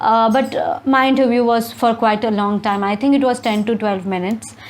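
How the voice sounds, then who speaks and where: A woman speaks at a fairly high pitch and moderate pace, her intonation fairly even. Noticeable background noise is present. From India. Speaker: YouTuber, scholarship student. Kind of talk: casual advice vlog. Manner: hesitant, with stammers.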